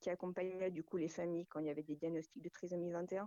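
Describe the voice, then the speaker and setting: A woman speaks in an ordinary speaking voice at a medium pitch. Her intonation stays fairly even. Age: 40s. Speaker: amateur raid participant. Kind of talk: radio interview.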